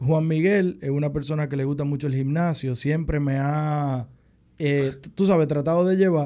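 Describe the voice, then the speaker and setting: A man's fairly high-pitched voice with a dark, mellow tone and fairly even intonation. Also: moderate pace. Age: 30s. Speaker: podcast co-host. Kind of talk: casual chat.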